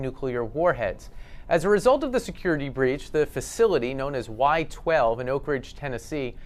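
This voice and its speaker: This is a plain, everyday voice that moves at a moderate pace. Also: man. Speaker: journalist. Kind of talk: news report narration.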